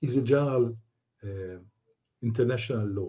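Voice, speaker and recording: A man's somewhat breathy, dark, mellow voice of medium pitch, with ordinary pitch variation and a non-native accent. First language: not English. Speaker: aviation expert answering questions. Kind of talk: online Q&A event. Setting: online event. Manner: halting.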